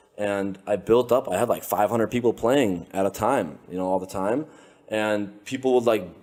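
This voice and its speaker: Animated in tone, a man speaks at a moderate pace with a fairly low pitch and ordinary pitch variation. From Lithuania, raised in the United States from age six. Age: 20s. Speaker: entrepreneur, social media trend starter. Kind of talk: casual interview conversation. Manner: animated, casual with many fillers.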